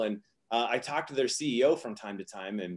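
A man's fairly quick speech over a quiet background. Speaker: interview guest. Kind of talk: interview answer. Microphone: video call.

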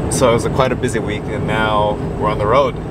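Loud background noise runs under a man who speaks at a moderate pace with ordinary pitch variation, in a dry sound with no echo. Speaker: vlogger. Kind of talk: casual vlog chat. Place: car.

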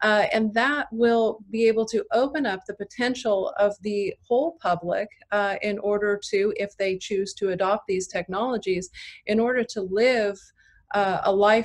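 A woman at a fairly slow pace, with ordinary pitch variation. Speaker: biotech company CEO; panelist. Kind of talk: panel discussion. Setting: video call. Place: home room. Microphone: webcam.

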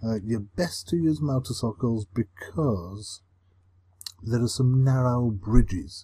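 Very slowly, a man speaks in a somewhat breathy voice with ordinary pitch variation. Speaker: gaming commentator. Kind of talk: casual gameplay commentary.

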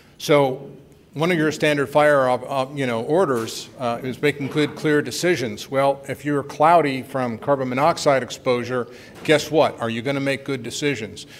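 Fairly even intonation and a moderate pace come through over light background noise. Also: man. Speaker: conference presenter. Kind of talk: lecture. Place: hall.

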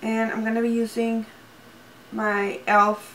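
A woman's fairly high voice at a very slow pace, with a slight Spanish accent and light background noise. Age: 20s. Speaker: beauty YouTuber. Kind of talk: casual talk to camera, makeup review. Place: home room.

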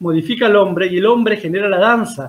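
The man's voice is pitched high. He speaks at a fairly quick pace. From Argentina, Río Cuarto, Córdoba province; Córdoba, Argentina. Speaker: dance teacher and university culture director; guest. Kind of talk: interview about dance history. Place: home room. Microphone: video call.

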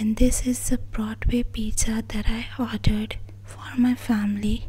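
A soft-spoken woman with a gentle tone at a fairly slow pace, over noticeable background noise. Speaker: daughter of the channel owner, social media handler and video editor. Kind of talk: casual talk to camera, soft-spoken thank-you message. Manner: soft-spoken, gentle.

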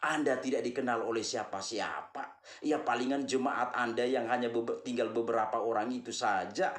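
A man talks at a moderate pace with hardly any pauses and fairly even intonation. Room echo is audible. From Flores, eastern Indonesia. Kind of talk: monologue, commentary on religion. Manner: repetitive, earnest, addresses audience warmly. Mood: critical, scolding. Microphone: phone near.

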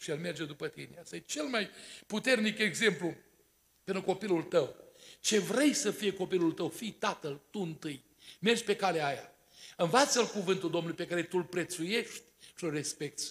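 Over a quiet background, a man with a high pitch talks at a moderate pace with lively intonation. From Romania, Botoșani county; Romania. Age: 60s. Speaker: pastor; preacher at wedding. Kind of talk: sermon. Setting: church. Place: church. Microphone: podium.

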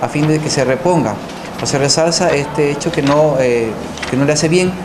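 Noticeable noise sits behind a man who talks at a moderate speed, his pitch varying in an ordinary way. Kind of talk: press statement. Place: meeting room.

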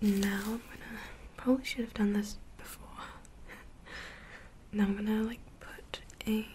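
Soft-spoken and gentle in tone, a woman talks at a moderate pace with flat, monotone intonation over light background noise. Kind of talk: ASMR roleplay chat to the viewer. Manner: soft-spoken, gentle ASMR voice.

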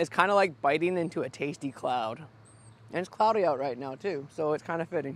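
A man talks at a fairly quick pace with ordinary pitch variation. The sound is dry, with no echo. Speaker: food vlogger. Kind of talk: casual food review vlog. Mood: cheerful, playful. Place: open country. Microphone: lapel.

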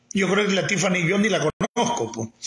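A man with a Nicaraguan accent speaks at a fairly slow pace with a high pitch. His pitch swings very widely, and audible room echo is present. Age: 60s. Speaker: political commentator and former political prisoner. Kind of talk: live-stream political commentary monologue. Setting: live stream. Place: home room. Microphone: phone near.

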